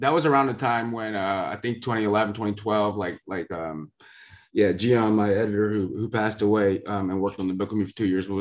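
In a normal speaking voice, a man with an American accent talks at a fairly quick pace and fairly low pitch, with fairly even intonation against a quiet background. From US West Coast. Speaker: podcast host and author.

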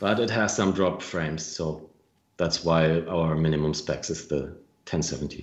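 A man with a German accent speaks in a very deep, low pitch at a moderate pace. His intonation is fairly even, while his loudness swings widely. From Germany, Franconia (northern Bavaria). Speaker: game developer. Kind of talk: interview. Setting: live video stream.

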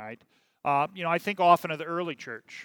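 This man speaks with an American accent at a fairly high pitch. The sound is dry and close, without echo. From US Midwest, Kansas City. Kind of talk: sermon. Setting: church, livestreamed service. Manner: halting, many fillers.

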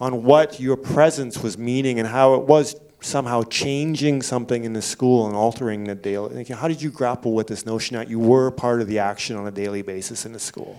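A man talks at a fairly quick pace in an unremarkable speaking voice, with medium pitch and ordinary pitch variation. His loudness swings widely. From Canada. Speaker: festival moderator. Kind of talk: moderated Q&A. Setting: stage with audience.

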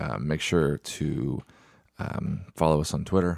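Deep and very low in pitch, a man's voice shows vocal fry and ordinary pitch variation, with a dry, close sound and no echo. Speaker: podcast host. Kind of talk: casual comedy podcast banter.

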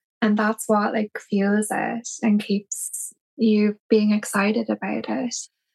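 A woman with a Cork accent speaks very slowly in a fairly high, flat monotone, the sound dry and close with no echo. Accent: Cork Irish. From Ireland, Cork City. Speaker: tattoo artist. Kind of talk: casual interview.

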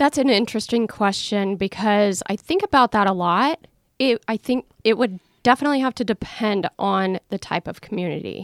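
A normal speaking voice from a woman with an American accent, fairly high in pitch with ordinary pitch variation, at a moderate pace, on a very clean recording with a silent background and a dry, close sound with no echo. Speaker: tiny house owner. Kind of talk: casual interview.

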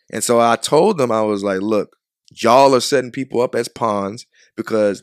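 A man with an American accent talks at a moderate pace in an ordinary speaking voice, medium in pitch with fairly even intonation. The recording is very clean, with a silent background and a dry, close sound with no echo. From Chicago. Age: 20s. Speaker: photographer. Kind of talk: casual chat. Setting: studio.

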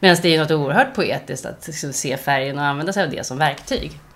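Speaking at a fairly quick pace, a woman has a very deep, low-pitched voice. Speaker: artist. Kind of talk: casual chat. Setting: at her home.

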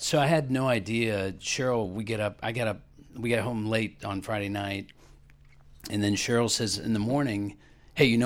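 On a very clean recording with a silent background, a man talks in an unremarkable speaking voice at medium pitch with ordinary pitch variation. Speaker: class member sharing testimony. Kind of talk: testimony.

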